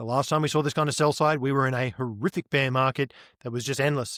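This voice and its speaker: With an Australian accent, a man speaks at a fairly quick pace and fairly high pitch with ordinary pitch variation, in a very clean recording with a silent background and a dry, close sound with no echo. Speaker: on-chain market analyst. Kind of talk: interview.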